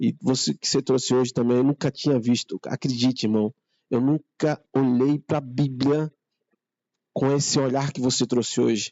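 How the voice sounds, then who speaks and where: A man at a medium pitch keeps a moderate pace and fairly even intonation. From Northeast Brazil, Maceió, Alagoas. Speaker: church member. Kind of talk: testimony. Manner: halting.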